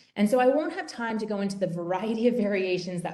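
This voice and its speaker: With audible room echo, a woman talks at a fairly quick pace in a dark, mellow tone with ordinary pitch variation. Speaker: professor presenting research. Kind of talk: webinar lecture. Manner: fast.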